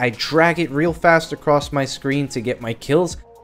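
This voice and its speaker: A man with music in the background. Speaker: gaming youtuber. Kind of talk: gameplay commentary.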